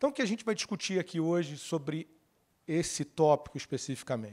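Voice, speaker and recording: A man speaks with a Carioca accent at a moderate pace. His pitch is fairly high and his intonation lively. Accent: carioca (Rio de Janeiro) Portuguese. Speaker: lawyer giving a conference talk. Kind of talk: conference talk. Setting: stage with audience. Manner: conversational.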